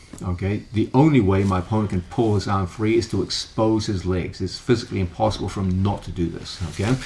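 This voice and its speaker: Over noticeable background noise, a man races along at a very fast pace with hardly any pauses. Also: fairly low pitch for a man, ordinary pitch variation. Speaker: grappling instructor. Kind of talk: instructional tutorial.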